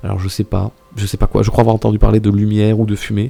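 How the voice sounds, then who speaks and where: Backed by music, the words come at a very fast pace. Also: man. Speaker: streamer. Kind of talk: casual live stream chat. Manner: speaking quieter than usual, reserved; hesitant, many fillers and repetitions.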